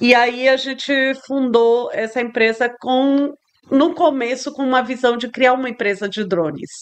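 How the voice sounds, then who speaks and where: Speaking at a fairly slow pace with a Spanish accent, a woman uses a high pitch with ordinary pitch variation. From Brazil, São Luís, Maranhão. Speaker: tech entrepreneur, CEO. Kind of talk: interview. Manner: halting, searching for Portuguese words.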